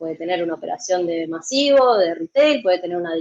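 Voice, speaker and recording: Her pitch swinging very widely, a woman speaks at a fairly quick pace with an Argentine accent. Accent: Argentine Spanish (Rioplatense). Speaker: logistics software consultant. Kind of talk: conference talk. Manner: fast; animated.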